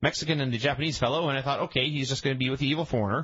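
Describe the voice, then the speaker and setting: This man talks at a very fast pace. His voice has vocal fry. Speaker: wrestling podcast host. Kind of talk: casual chat.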